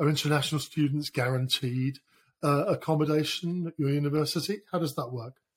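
With a British accent, a man talks at a moderate pace in a fairly high, somewhat breathy voice with ordinary pitch variation, on a very clean recording with a silent background. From Britain. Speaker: podcast host. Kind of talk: interview.

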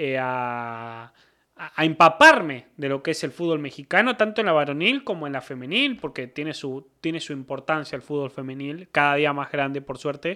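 In a Cordoban Argentine accent, a man speaks at a moderate pace and fairly high pitch. His tone is bright and sharp, on a very clean recording with a silent background. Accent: Argentine Spanish (Córdoba), voseo. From Argentina, Córdoba province. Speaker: football commentator. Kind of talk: casual chat.

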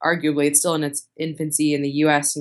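Very fast speech from a woman with an American accent, very deep and low in pitch. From US Northeast, Boston. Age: 20s. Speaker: venture capitalist. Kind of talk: interview.

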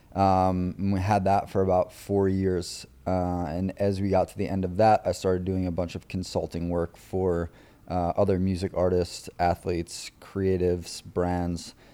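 In an American accent, a man speaks with a very deep, low pitch and a dark, mellow tone, his intonation monotone and flat, on a very clean recording with a silent background. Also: moderate pace. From Long Island, New York. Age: 20s. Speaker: networking professional. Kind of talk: casual interview.

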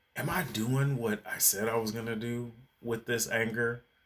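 A man with a plain, everyday voice, medium in pitch, at a moderate pace. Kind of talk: angry rant. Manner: heated, indignant, sarcastic and accusatory.

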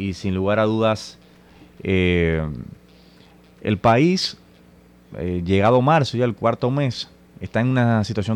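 A man speaks at a moderate pace in a fairly low pitch with ordinary pitch variation. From Dominican Republic, Santo Domingo. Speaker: radio host and political activist. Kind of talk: political talk radio discussion. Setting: radio studio.

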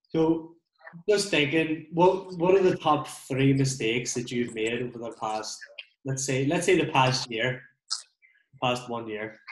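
In an unremarkable speaking voice, a man talks fairly slowly at a medium pitch with lively intonation. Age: 30s. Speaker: podcast host and removals business owner. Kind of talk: casual chat. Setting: video call.

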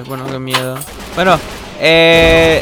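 Very slowly, a man speaks at a fairly high pitch. Noticeable background noise runs behind him. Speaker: youtuber interviewer. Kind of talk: casual interview.

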